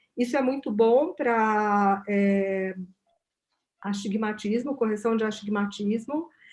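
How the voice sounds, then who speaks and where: Her pitch rises and falls in an ordinary way. This woman talks at a fairly slow pace. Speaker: company representative. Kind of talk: product presentation.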